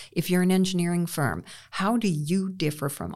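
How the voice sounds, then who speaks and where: A woman's fairly low voice at a moderate pace, an unremarkable speaking voice, in a very clean recording with a silent background. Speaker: business consultant and author. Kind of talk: interview about work trends. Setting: studio.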